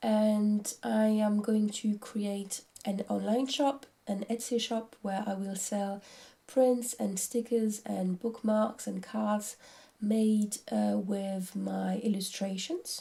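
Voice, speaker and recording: Speaking very slowly in a French accent, a woman has a dark, mellow, somewhat breathy tone. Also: medium pitch for a woman, fairly even intonation. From France. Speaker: craft vlogger. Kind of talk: casual vlog talk. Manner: hesitant.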